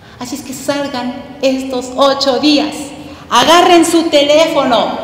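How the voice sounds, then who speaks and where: A woman's lively intonation against noticeable background noise. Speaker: political panelist. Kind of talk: panel discussion. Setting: stage with audience.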